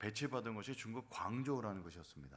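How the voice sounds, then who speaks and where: Amid audible room echo, a man talks at a fairly quick pace with a fairly low pitch that swings very wide. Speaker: pastor. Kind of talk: sermon.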